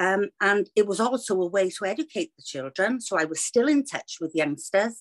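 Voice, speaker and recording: Lively intonation comes through in a dry, close recording with no echo. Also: woman. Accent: Welsh. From Wales. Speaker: children's author, former teacher. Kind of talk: interview.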